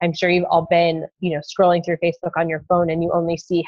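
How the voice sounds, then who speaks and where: A woman rattles along at a very fast pace. Her voice sits fairly low and stays monotone and flat. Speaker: fitness coach. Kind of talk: tutorial.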